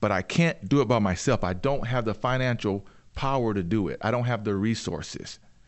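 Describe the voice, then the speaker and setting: At a moderate pace, a man with a normal speaking voice and medium pitch talks with lively intonation. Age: 50s. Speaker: entrepreneur and inventor. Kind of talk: interview.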